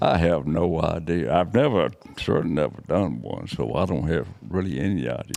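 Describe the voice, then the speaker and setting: With lively intonation, a man speaks at a moderate pace in a very deep, low pitch. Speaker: podcast guest.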